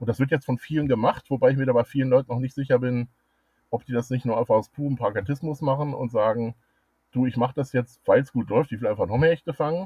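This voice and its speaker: Speaking at a very fast pace, a man sounds somewhat breathy, his intonation fairly even. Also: medium pitch for a man. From Germany, Ruhr area (Dortmund). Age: 50s. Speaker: angling club president and fishing writer. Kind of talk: interview.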